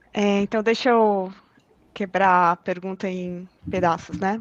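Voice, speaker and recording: With a slight non-native accent, a woman speaks at medium pitch in a monotone, flat intonation. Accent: slight foreign tinge from living abroad. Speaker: cloud data engineer. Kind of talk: technical live Q&A with screen demo. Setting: online live stream. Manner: halting, many fillers and restarts.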